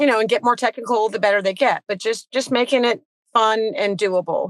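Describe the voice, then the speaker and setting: This woman has a plain, everyday voice with an American accent, fairly high pitch, ordinary pitch variation, and a dry, close sound with no echo. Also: fairly quick pace. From Virginia, Petersburg area. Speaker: tennis coach. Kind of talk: casual interview.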